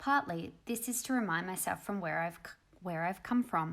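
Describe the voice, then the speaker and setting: A woman with an Australian accent speaks at a moderate pace in a fairly low pitch, with ordinary pitch variation, on a very clean recording with a silent background. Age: 30s. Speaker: doctor and personal finance youtuber. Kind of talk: personal vlog monologue.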